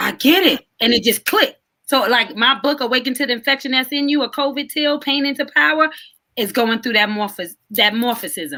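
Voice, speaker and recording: A woman projects a raised voice, high and bright with a sharp tone, moving at a fairly quick pace with lively intonation. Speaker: author. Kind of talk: casual chat. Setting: live video stream. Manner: fast; animated.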